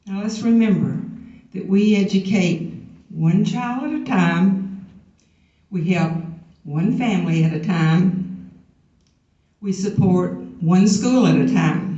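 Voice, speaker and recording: Speech comes at a very slow pace with long, frequent pauses and audible room echo. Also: woman, medium pitch for a woman, ordinary pitch variation. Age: 70s. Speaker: teacher. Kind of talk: convention speech. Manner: emphatic.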